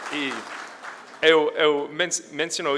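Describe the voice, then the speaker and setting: This man's intonation is fairly even. He talks with an American accent. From United States. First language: English (speaking Portuguese). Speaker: energy research analyst, conference speaker. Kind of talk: conference presentation. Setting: stage with audience. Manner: halting, many fillers.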